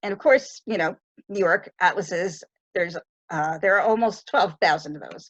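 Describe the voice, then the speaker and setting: Recorded dry and close with no echo, a woman with an ordinary speaking voice talks at medium pitch and a moderate pace, her intonation lively and her loudness swinging widely. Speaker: librarian presenter. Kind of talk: online tutorial presentation.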